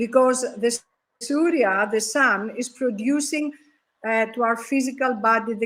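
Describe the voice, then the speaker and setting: A woman speaks with a Greek accent at a fairly slow pace. Her pitch sits fairly high. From Greece. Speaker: yoga panelist. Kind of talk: panel discussion. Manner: halting.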